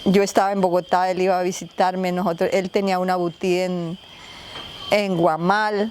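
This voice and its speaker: A woman with a medium-pitched voice keeps a moderate pace while noticeable background noise runs underneath. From Colombia, Meta (El Castillo). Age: 60s. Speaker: relative of a disappeared person. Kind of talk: testimony.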